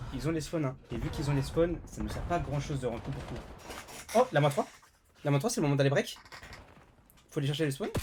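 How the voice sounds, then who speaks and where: A man talks at a very fast pace, broken by long, frequent pauses. Music plays in the background. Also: fairly high pitch for a man, ordinary pitch variation. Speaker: esports caster. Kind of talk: live commentary. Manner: loud; animated.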